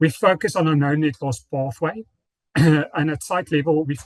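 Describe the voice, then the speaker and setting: Here a man talks fairly quickly at a fairly high pitch, with ordinary pitch variation. The sound is dry and close with no echo, and his voice is somewhat breathy. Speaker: corporate sustainability presenter. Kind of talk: conference presentation. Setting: conference forum.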